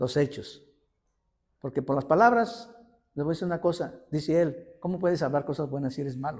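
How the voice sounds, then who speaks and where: This man talks at a fairly quick pace with lively intonation and long, frequent pauses. His voice is fairly high and somewhat breathy. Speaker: lay preacher. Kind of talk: sermon. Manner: animated; halting.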